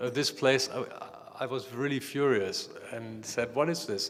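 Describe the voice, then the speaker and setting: A man at a medium pitch, fairly even intonation, noticeable background noise. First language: not English. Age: 50s. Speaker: artist. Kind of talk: panel discussion. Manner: halting.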